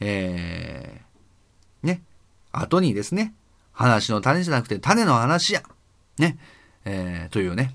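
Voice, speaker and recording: Over a silent background in a very clean recording, a man at medium pitch talks at a very slow pace, with long, frequent pauses and very wide pitch swings. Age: 30s. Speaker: podcast host. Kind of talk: solo casual talk. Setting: night recording. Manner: casual, many fillers.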